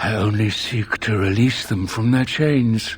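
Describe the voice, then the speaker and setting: A man puts on a character voice at a medium pitch. He talks at a fairly slow pace with fairly even intonation over light background noise. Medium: video game. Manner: measured, formal, calm.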